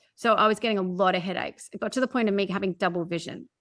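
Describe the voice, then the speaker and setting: A woman with an Australian accent speaks at a medium pitch, with a dry, close sound and no echo. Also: very clean recording, silent background. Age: 40s. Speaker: podcast guest, personal development coach. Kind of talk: interview, personal story.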